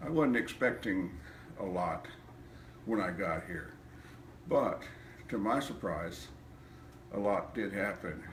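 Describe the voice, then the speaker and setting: A man's fairly low voice at a very slow pace, with lively intonation, long and frequent pauses, and audible room echo. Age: 70s. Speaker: chiropractic patient. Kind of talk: testimony.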